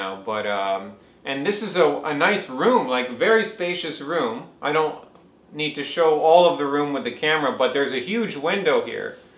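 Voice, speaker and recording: A male voice with very wide pitch swings over noticeable background noise. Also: fairly high pitch for a man, moderate pace. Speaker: interviewer. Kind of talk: interview questions.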